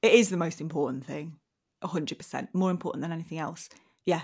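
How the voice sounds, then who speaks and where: A woman with a fairly low pitch and a somewhat breathy voice speaks at a fairly quick pace with fairly even intonation, on a very clean recording with a silent background. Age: 40s. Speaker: comedic actress. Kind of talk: casual chat.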